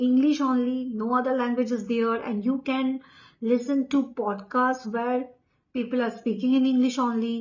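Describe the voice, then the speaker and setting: This woman has a high-pitched voice and speaks with an Indian accent. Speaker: English coach. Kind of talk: tutorial.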